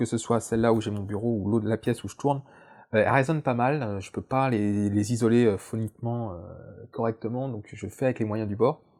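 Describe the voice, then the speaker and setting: Over a silent background in a very clean recording, a man with a medium-pitched voice talks fairly quickly with fairly even intonation. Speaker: science YouTuber. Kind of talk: casual vlog. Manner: very fast; hesitant, many fillers.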